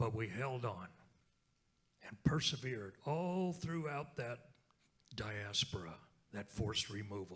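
An American-accented man at a fairly slow pace, with long, frequent pauses, lively intonation and big swings in loudness against a quiet background. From Oklahoma, Lenape (Delaware Tribe) community; Oklahoma. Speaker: speaker. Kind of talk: keynote talk on stage. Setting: stage with audience. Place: hall. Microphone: handheld.

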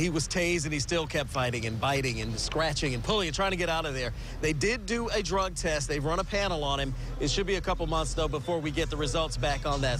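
A man at a very fast pace with hardly any pauses, ordinary pitch variation, noticeable background noise and a dry sound with no echo. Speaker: TV news reporter. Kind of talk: live news report answer. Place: street. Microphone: handheld.

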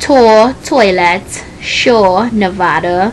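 A woman talks with a Trinidadian accent. There is light background noise. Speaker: vlogger. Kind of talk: casual vlog, reading word list. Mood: playful, smiling. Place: home room. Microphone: webcam.

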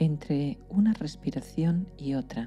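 Calm and very deep, a woman's voice moves through very wide pitch swings. Music plays in the background. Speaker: psychologist and meditation guide. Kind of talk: guided sleep meditation. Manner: slow, calm, soft-spoken.

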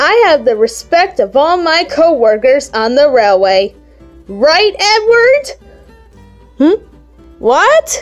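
A put-on character voice speaks at a very slow pace, with long, frequent pauses. Faint music plays in the background. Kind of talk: comic dub. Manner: confident, boastful.

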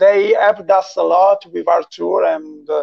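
Someone with an Italian accent speaks against a quiet background. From Italy. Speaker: musician hosting a live chat. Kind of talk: casual live-stream interview. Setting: video call. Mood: friendly, smiling. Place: home room. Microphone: video call.

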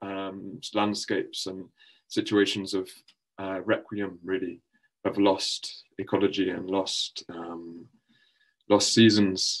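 Monotone, flat intonation comes at a very slow pace with long, frequent pauses over a quiet background. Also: man, fairly low pitch for a man. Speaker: poet. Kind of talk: introducing a poem at an online conference. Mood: calm, reflective. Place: home room. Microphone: webcam.

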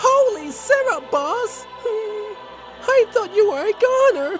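A man puts on a character voice at an extremely high pitch with big pitch swings and a fairly bright tone. He talks at a slow pace over faint music in the background.

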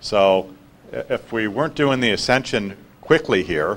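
With lively intonation, the man speaks at a fairly low pitch. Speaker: spiritual healer. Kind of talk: panel talk. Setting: stage with audience.

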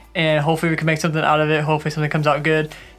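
Faint music sits in the background. Over it, a man is talking. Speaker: vlogger. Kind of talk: casual vlog chat. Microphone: camera far.

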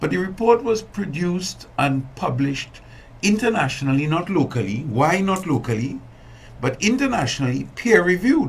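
At a moderate pace, a man speaks in a high pitch that swings very widely. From Trinidad and Tobago. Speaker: environmental activist and businessman; guest. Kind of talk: interview. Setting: studio. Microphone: studio mic.

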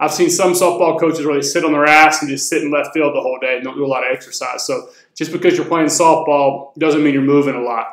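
Speaking very fast in an American accent, a man with a fairly high pitch is heard with audible room echo against a quiet background. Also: fairly even intonation. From US South, rural North Florida; Florida. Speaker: fitness coach. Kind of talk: casual Q&A video. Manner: casual, conversational. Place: home room.

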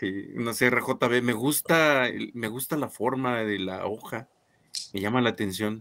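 A man's bright, sharp tone, with ordinary pitch variation and a fairly slow pace. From Guanajuato, Mexico. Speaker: co-host, knife enthusiast; co-host. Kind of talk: casual live stream chat. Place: home room.

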